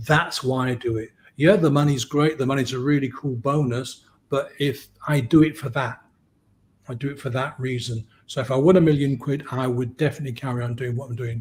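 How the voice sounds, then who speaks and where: With an English accent, a man of medium pitch speaks at a fairly quick pace with fairly even intonation and a somewhat breathy sound. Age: 60s. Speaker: hypnotist. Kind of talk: podcast interview.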